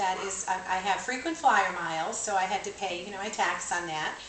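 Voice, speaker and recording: A woman speaks fairly quickly with lively intonation, in a room with audible echo and noticeable background noise. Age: 60s. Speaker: retired college administrator and career counselor. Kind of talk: radio interview.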